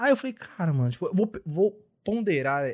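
A man with a somewhat breathy voice makes very wide pitch swings. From São Paulo (Capão Redondo), born in Bahia. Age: 20s. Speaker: podcast panelist. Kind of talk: casual chat.

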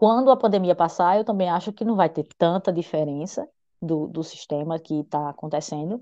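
Against a quiet background, a woman speaks at a moderate pace with a fairly low pitch, a dark, mellow tone and ordinary pitch variation. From Brazil, Paraíba. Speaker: English teacher. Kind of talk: interview.

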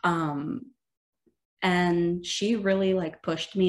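Using a plain, everyday voice, the woman keeps her intonation fairly even. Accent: Canadian. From Ontario, Canada. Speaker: student podcast co-host. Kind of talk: casual chat.

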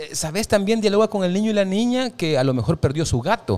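This man speaks fairly quickly. His voice rises and falls across a very wide range. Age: 40s. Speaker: stage actor. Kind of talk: casual chat.

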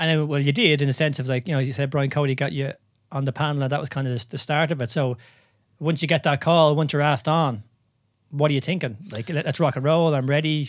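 Over a silent background on a very clean recording, a man speaks very fast in a fairly high pitch. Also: fairly even intonation. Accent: Irish. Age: 30s. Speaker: podcast host and movement coach. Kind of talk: casual interview.

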